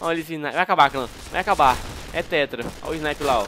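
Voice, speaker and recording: Background noise is noticeable here. Over it, a man is talking. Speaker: gaming youtuber. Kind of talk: gameplay commentary. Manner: animated.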